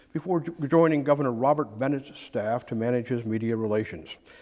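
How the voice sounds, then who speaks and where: Here is a man with a plain, everyday voice at a medium pitch. He talks at a fairly quick pace with ordinary pitch variation. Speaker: interviewer, former reporter. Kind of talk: oral history interview questions.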